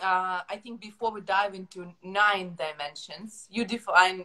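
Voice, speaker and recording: Her tone is bright and sharp, at a medium pitch. The woman keeps her intonation fairly even. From Ukraine. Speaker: podcast host. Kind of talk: interview. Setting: video call.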